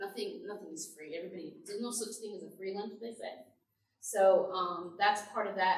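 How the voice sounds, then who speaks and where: At a moderate pace, a woman speaks with very wide pitch swings amid audible room echo. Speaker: pastor. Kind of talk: church presentation to adult class.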